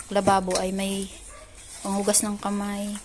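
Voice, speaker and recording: A woman speaks at a medium pitch. There is noticeable background noise behind her. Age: 50s. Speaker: vlogger. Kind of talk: casual vlog narration. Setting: outdoors.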